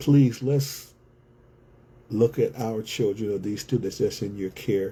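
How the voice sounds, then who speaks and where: A man's dark, mellow tone, somewhat breathy, at a fairly slow pace. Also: medium pitch for a man, ordinary pitch variation. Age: 60s. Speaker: community organizer and author. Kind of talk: livestream monologue. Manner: repetitive, emphatic.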